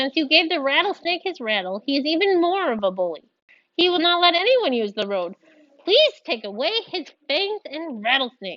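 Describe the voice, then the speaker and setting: This is a put-on character voice. The pitch swings very widely. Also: woman, high pitch for a woman, moderate pace. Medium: read story.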